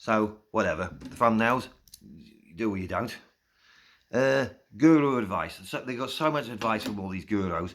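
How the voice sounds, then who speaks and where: A man with a medium pitch talks in an English accent at a moderate pace. His intonation is lively, and his loudness swings in big ways. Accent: English accent, noticeable. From South East England (Slough). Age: 50s. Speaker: YouTuber. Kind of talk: casual vlog monologue. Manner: informal, rambling with fillers.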